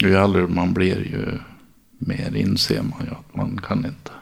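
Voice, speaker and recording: Noticeable background noise behind a man's fairly slow whisper. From Dalarna, Sweden (childhood in San Francisco until 13). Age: 40s. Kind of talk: interview.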